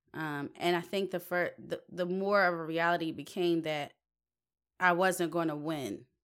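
A woman talks at a fairly slow pace in an ordinary speaking voice, fairly low in pitch and fairly even in intonation. The recording is very clean, with a silent background. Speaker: singer. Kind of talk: casual chat.

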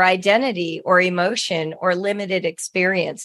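A woman at a moderate pace, an ordinary speaking voice at medium pitch, against a quiet background. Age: 60s. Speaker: writing educator and author. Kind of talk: interview.

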